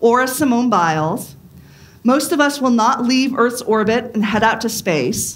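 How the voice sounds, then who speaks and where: Her intonation is lively. The woman keeps a fairly slow pace. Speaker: pastor. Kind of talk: sermon. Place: church.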